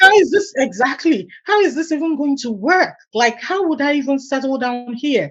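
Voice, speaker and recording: A high-pitched woman with a Nigerian accent, animated tone, lively intonation and moderate pace. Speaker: immigrant, supply chain professional. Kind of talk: interview.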